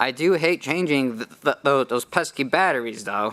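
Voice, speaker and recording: Bright and sharp in tone, a man's voice sits at a medium pitch. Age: 20s. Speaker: patient advocate. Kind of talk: testimony. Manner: halting, repeats words.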